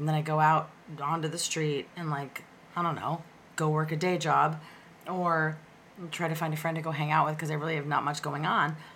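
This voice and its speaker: A woman's very deep, low pitch at a fairly quick pace, with long, frequent pauses and audible room echo. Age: 40s. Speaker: opera singer and actress. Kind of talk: casual chat. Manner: animated.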